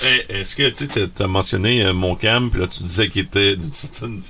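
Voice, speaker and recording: A man with a fairly low pitch talks while noticeable background noise runs behind him. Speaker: podcast host. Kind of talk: casual chat.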